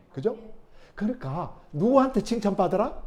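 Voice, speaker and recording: With a Jeolla accent, a man talks at a moderate pace using very wide pitch swings, with audible room echo and noticeable background noise behind him. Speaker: pastor. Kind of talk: sermon. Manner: conversational, many interjections.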